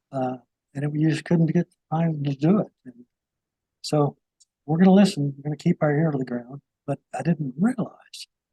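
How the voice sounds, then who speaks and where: A man with an American accent speaks at a fairly high pitch, his tone dark and mellow and somewhat breathy. His pace is moderate, with ordinary pitch variation, long, frequent pauses, and a dry, close sound with no echo. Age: 70s. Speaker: talk show host, Vietnam veteran. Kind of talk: interview.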